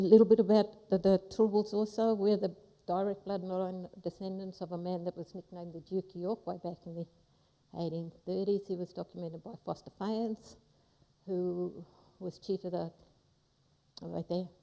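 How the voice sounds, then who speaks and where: Using monotone, flat intonation at medium pitch, a woman speaks at a moderate pace with long, frequent pauses and big swings in loudness. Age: 50s. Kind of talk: ceremonial welcome speech.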